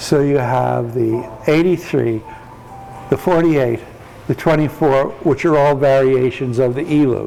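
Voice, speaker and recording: A man with an American accent speaks at a fairly slow pace, his medium pitch held in fairly even intonation. Noticeable background noise runs beneath him. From US Midwest, St. Louis, Missouri. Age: 70s. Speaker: tai chi teacher. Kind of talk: casual interview chat.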